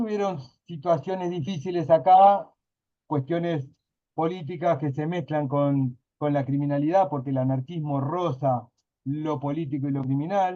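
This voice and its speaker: A man talks at a fairly slow pace. His pitch is fairly high and his tone dark and mellow. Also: ordinary pitch variation. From Río de la Plata (Uruguay/Argentina). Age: 40s. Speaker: workshop participant. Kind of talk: casual class discussion. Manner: hesitant, many fillers.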